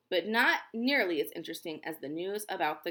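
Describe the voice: The speaker is reading aloud. The reading is plain.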